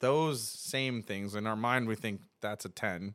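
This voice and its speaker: A man with an American accent talks at fairly low pitch with ordinary pitch variation, in an ordinary speaking voice. The recording is very clean, with a silent background. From US Northeast. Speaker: filmmaker and motorcycle traveler. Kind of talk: casual chat. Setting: studio.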